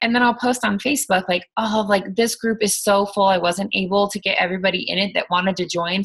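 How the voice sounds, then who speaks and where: Speaking at a very fast pace, a woman with a medium pitch and a bright, sharp tone keeps a fairly even intonation. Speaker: fitness coach team leader. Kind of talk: motivational talk to team. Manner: halting, stuttering; casual, filler-heavy.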